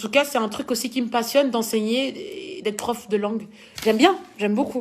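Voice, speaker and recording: With a strong Belgian accent, a woman speaks fairly quickly at a fairly high pitch, with lively intonation and an animated tone. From Belgium. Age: 20s. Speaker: dancer and social media personality. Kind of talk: live Q&A reading viewer comments.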